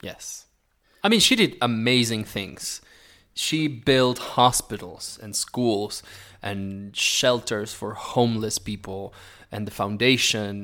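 A man with an Argentine accent speaks at a very slow pace in a medium pitch, with a bright, sharp tone. His pitch varies in an ordinary way, while his loudness swings widely. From Argentina, Neuquén (Patagonia). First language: Spanish. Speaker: musical theatre performer. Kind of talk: casual interview chat. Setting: remote call from Mexico.

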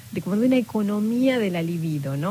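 Talking at a fairly quick pace, a woman with an Argentine accent uses lively intonation. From Patagonia, Argentina. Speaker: novelist. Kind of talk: interview. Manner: halting.

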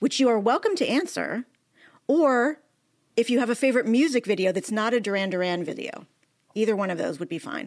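In an unremarkable speaking voice, a woman talks at a fairly quick pace and a fairly high pitch with lively intonation. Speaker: TV critic and podcast co-host. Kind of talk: casual interview chat.

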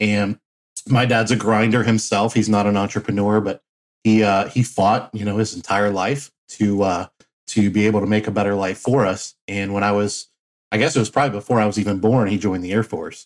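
In a Midwestern American accent, a man with a fairly low voice talks at a fairly quick pace with fairly even intonation, in a very clean recording with a silent background. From Flint, Michigan. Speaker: laundromat entrepreneur. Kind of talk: interview.

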